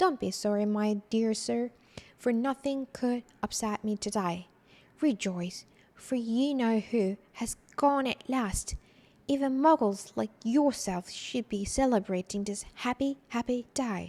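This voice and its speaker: A woman puts on a squeaky character voice, pitched fairly high and delivered at a fairly slow pace. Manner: joyful, giddy.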